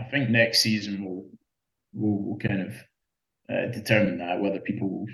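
A man with a Scottish accent talks at a fairly low pitch, his voice somewhat breathy. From Scotland. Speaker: open-water swimmer. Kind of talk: casual interview. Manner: halting.

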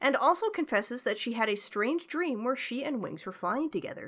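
On a very clean recording with a silent background, a woman with a Canadian accent speaks at a fairly quick pace in an unremarkable speaking voice. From Canada. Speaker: podcast host. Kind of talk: plot summary narration; casual chat.

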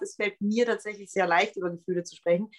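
A fairly high-pitched woman speaks at a fairly quick pace. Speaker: pop singer and songwriter. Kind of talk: casual interview. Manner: animated.

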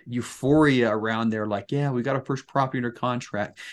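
A man with an American accent has a plain, everyday voice. His intonation is fairly even. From Utah, Salt Lake City area. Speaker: real estate investor, retired Marine. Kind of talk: interview.

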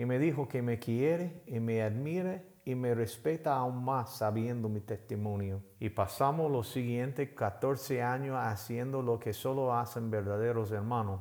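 Speaking at a fairly slow pace with hardly any pauses, a man uses an unremarkable speaking voice with ordinary pitch variation. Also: medium pitch for a man. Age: 50s. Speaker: pastor. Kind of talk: sermon.

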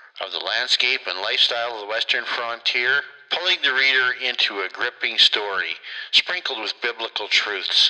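With noticeable background noise in the recording, a man talks at a moderate tempo. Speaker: podcast host. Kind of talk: podcast hosting and introducing authors.

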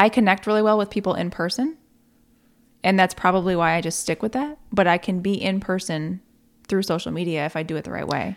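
Someone with an American accent speaks at a fairly quick pace with ordinary pitch variation, in a normal speaking voice. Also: woman, medium pitch for a woman. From northern New York. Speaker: Mary Kay sales consultant. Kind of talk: casual chat. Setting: studio.

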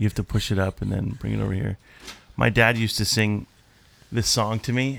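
Speaking at a fairly quick pace with fairly even intonation, a man takes long, frequent pauses. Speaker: church podcast host. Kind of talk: casual chat.

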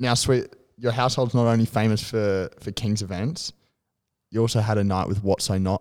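A man's medium-pitched, fairly quick speech with an Australian accent and fairly even intonation on a very clean recording with a silent background. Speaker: podcast co-host. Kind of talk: casual chat.

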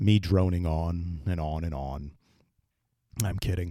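A man's dark, mellow voice at a fairly slow pace with fairly even intonation, on a very clean recording with a silent background. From Massachusetts, near Brockton. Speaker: podcast host. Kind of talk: solo podcast monologue.

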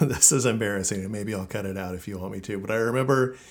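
In an ordinary speaking voice, a man talks at a fairly low pitch with ordinary pitch variation. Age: 40s. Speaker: podcast host. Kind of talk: casual chat.

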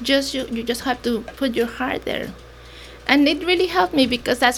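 A woman with a Mexican accent speaks at a fairly quick pace in a high pitch. There is noticeable background noise. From Mexico. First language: Mexican Sign Language, then Spanish. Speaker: nonprofit founder. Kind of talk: interview.

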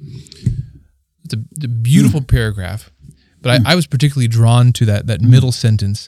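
Somewhat breathy and dark, mellow in tone, a man speaks at a fairly quick pace with a medium pitch and ordinary pitch variation. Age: 30s. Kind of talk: casual faith discussion.

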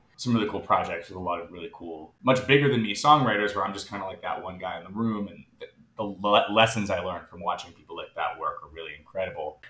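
With an American accent, a man is talking. He moves along at a fairly quick pace. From United States. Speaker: singer-songwriter. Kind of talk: casual chat.

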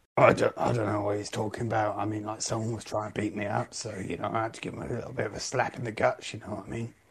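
A man's raspy, put-on character voice, fairly low in pitch and delivered at a very fast pace. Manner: boozy, rambling, aggrieved.

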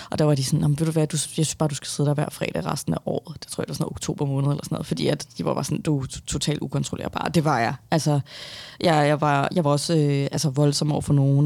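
The woman's voice is very deep and low, with fairly even intonation. She talks at a very fast pace. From Denmark, Viborg then Copenhagen western suburbs. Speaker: author. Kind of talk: interview.

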